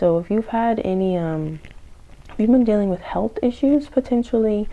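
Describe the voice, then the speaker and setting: A woman with an unremarkable speaking voice and fairly high pitch talks at a moderate pace with lively intonation. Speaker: tarot reader. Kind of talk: tarot reading to camera. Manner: many filler words.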